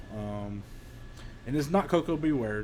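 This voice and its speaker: Speaking with an Eastern Kentucky accent, a man uses medium pitch and ordinary pitch variation at a fairly slow pace, with audible room echo. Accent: Eastern Kentucky hillbilly. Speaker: former pro wrestler. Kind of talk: casual storytelling. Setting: workshop. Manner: hesitant, many fillers.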